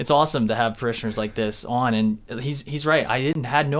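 In an ordinary speaking voice, the man holds a medium pitch and his pitch varies in an ordinary way. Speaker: podcast host. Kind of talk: casual interview.

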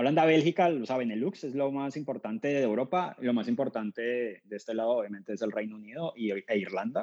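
A man with a plain, everyday voice talks at a fairly quick pace with hardly any pauses. The sound is dry and close with no echo, and his pitch variation is ordinary. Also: medium pitch for a man. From Colombia, Cali. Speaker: startup founder. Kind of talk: interview.

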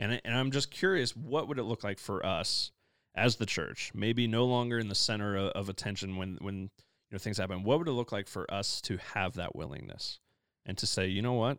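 On a very clean recording with a silent background, a man with an American accent and an ordinary speaking voice talks at a moderate pace with ordinary pitch variation. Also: fairly low pitch for a man. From US Midwest. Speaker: pastor. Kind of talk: casual chat.

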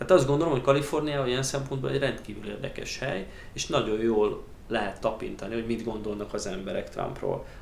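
Very fast speech with ordinary pitch variation, audible room echo and noticeable background noise. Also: man, medium pitch for a man. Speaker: emigrant interviewee. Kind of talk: interview. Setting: studio table.

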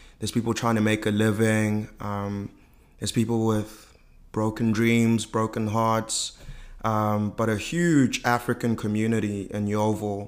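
A man speaks at a fairly low pitch and fairly slow pace. His intonation is flat and monotone, on a very clean recording with a silent background. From South Africa, inner-city Johannesburg. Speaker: business school student. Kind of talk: interview.

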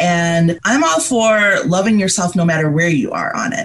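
A woman with a General American accent speaks at a moderate pace and a fairly low pitch, with noticeable background noise behind her. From Liberia, raised in upstate New York. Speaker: mental health advocate. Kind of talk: interview conversation.

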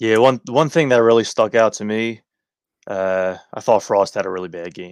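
In a normal speaking voice, a man with a fairly low pitch talks at a moderate pace with ordinary pitch variation and big swings in loudness against a quiet background. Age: 20s. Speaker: hockey podcast host. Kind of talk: casual chat.

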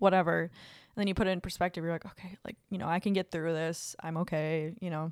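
A woman talks at a very fast pace in a fairly low pitch. Her intonation is monotone and flat. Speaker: podcast co-host. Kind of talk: casual chat.

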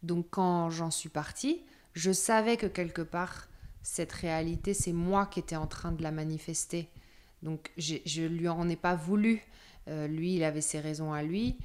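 The woman's pitch is fairly low, her intonation fairly even. She speaks at a very slow pace. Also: very clean recording, silent background. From Paris suburbs, France. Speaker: nomadic yoga practitioner. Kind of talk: interview testimony.

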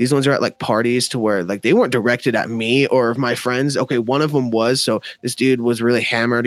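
A man with an American accent speaks at a very fast pace in a medium pitch. His intonation is monotone and flat, and the sound is dry and close with no echo. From Denver, Colorado, US. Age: 20s. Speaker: rapper and podcast host. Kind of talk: casual chat.

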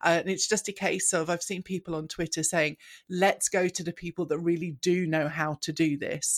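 In a very clean recording with a silent background, a woman with an ordinary speaking voice and a fairly low pitch speaks at a fairly quick pace. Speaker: podcast co-host and online learning trainer. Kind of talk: casual chat.

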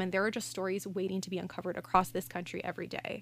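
Someone speaks at a very fast pace with a Canadian accent on a very clean recording with a silent background. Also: woman. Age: 20s. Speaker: journalist and radio host. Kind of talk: casual chat.

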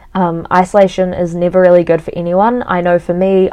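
A woman with a New Zealand accent speaks at a moderate pace in a fairly low pitch. Her tone is dark and mellow, and her intonation is monotone and flat. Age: 20s. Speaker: podcast host. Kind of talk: solo podcast monologue. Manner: casual, chatty with many fillers.

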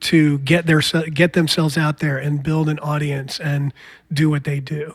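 At a moderate pace, a man with a fairly high, somewhat breathy voice speaks in a monotone, flat way. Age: 50s. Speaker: podcast host and musician. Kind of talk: casual interview chat.

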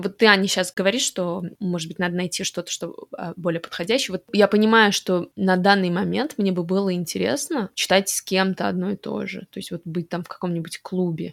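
At a fairly quick pace, a woman with an unremarkable speaking voice talks at a medium pitch with ordinary pitch variation and big swings in loudness, in a dry, close sound with no echo. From Russian-speaking, raised partly in Montreal. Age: 30s. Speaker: podcast co-host. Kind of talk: casual chat.

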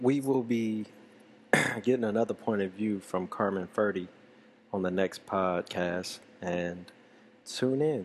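Pausing long and often, a man with a fairly low pitch speaks at a fairly slow pace with ordinary pitch variation. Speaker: podcast host. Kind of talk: casual chat. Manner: loud; animated.

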